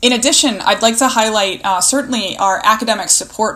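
Amid noticeable background noise, a woman speaks at medium pitch with ordinary pitch variation. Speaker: college provost.

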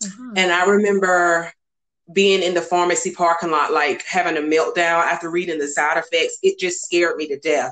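In a Southern US accent, a woman with a fairly low pitch speaks at a fairly quick pace in a monotone, flat intonation. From US South, North Carolina. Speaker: guest sharing infertility story. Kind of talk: interview testimony.

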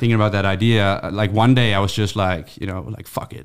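Speaking at a fairly quick pace, a man with a Dutch accent uses a fairly low voice. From Netherlands. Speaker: YouTuber and author. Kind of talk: casual podcast chat.

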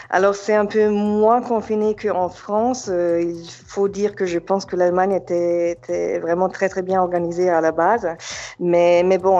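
A woman's fairly low, a normal speaking voice, at a fairly slow pace. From Germany, Yugoslav family. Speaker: real estate agent. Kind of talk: casual interview. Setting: phone call.

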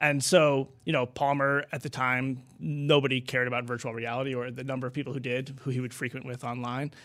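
On a very clean recording with a silent background, a man speaks in a flat monotone at medium pitch with hardly any pauses. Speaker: author. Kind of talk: interview.

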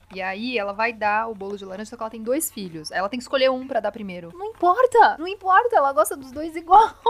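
A woman speaks very fast at a high pitch, with hardly any pauses. Her pitch swings very widely and her loudness shifts a lot, over noticeable background noise. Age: 30s. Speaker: actress and podcast co-host. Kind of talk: casual chat.

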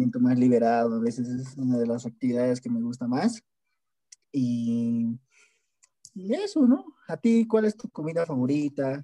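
Long pauses occur frequently. Between them, the speaker proceeds at a fairly slow pace. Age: 20s. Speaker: student. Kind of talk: casual chat.

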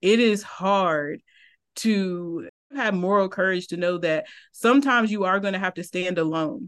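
A woman with an American accent speaks at a moderate pace in an unremarkable speaking voice, medium in pitch with ordinary pitch variation. The background is quiet. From Eastern North Carolina. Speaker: criminology professor. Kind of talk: podcast interview.

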